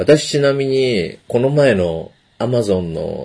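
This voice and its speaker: Lively intonation marks a man's medium-pitched voice with a dark, mellow tone. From Japan. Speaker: podcast host. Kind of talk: casual chat. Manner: speaking quietly.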